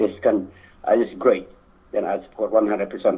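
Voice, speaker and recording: This man speaks with a Lao accent. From Laos. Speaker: community member speaking at political event. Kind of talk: public speech. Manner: halting.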